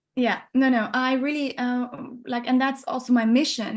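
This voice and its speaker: Against a quiet background, a woman with a non-native accent talks at a high pitch. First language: not English. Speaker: neuroscientist and supplement company founder. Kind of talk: interview conversation. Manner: halting, many fillers and restarts.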